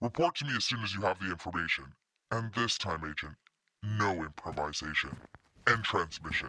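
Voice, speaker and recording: A woman does a put-on character voice with a very deep, low pitch, talking at a fairly quick pace broken by long, frequent pauses. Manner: clipped, cold, commanding.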